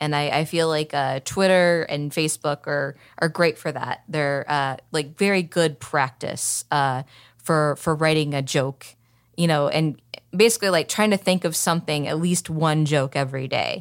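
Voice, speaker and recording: A woman with a slight Southern US accent speaks at a moderate pace with fairly even intonation. Her pitch is very deep and low, on a very clean recording with a silent background. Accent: slight Southern, comes out on certain words. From Oklahoma City, Oklahoma. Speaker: stand-up comedian. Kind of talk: casual interview chat. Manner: halting, many fillers.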